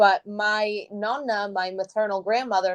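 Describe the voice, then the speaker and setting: A woman talks in an ordinary speaking voice. Her intonation is fairly even. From Brooklyn, New York, Italian-American family. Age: 30s. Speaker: cookbook author and web series host. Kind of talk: interview.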